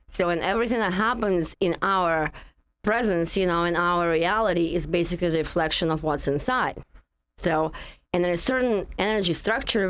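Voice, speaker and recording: Fairly quick speech in a Russian accent. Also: woman. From Russia (Russian Far East). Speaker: energy healing practitioner. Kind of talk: interview conversation.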